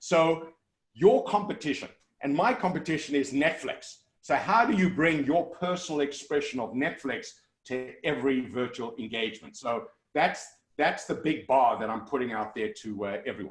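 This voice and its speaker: With music in the background, a man with a strong South African accent speaks at a moderate pace and a fairly high pitch, his intonation lively. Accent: South African, kept strong. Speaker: motivational keynote speaker. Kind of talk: virtual keynote Q&A. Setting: video call. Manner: loud and articulate.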